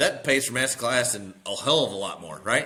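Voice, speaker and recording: A man's animated, bright, sharp voice at a medium pitch and a fairly quick pace. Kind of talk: casual interview chat. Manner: animated, emphatic.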